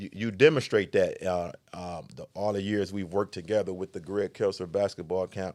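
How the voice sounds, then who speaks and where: A man speaks at a moderate pace with fairly even intonation and big swings in loudness. The recording is very clean with a silent background, and the sound is dry and close with no echo. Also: hardly any pauses. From Detroit. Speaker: podcast host. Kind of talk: interview. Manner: halting.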